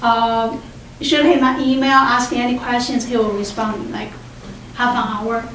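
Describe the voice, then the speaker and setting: A woman with a Chinese accent speaks at a high pitch and a moderate pace, her intonation flat and monotone. Noticeable background noise and audible room echo are present. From China. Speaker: doctoral student. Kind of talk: symposium talk. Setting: room with audience.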